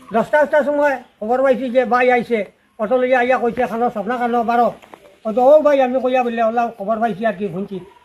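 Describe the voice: With an extremely high pitch, a man talks at a fast pace with ordinary pitch variation and few pauses.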